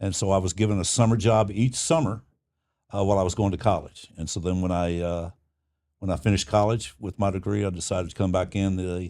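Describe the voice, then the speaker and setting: A man's dark, mellow voice, fairly low in pitch, at a very fast pace with fairly even intonation, on a very clean recording with a silent background. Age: 70s. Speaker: retiree advocacy leader, union activist. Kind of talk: interview. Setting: union hall.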